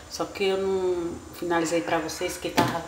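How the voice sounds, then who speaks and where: A woman speaks at a fairly low pitch. Noticeable background noise sits behind her. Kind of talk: cooking tutorial chat. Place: kitchen. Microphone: phone near.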